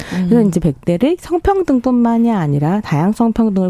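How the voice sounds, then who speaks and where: A woman's very fast speech, lively in intonation and dark and mellow in tone, in a dry, close sound with no echo. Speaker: culture critic. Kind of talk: radio culture segment talk. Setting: radio studio.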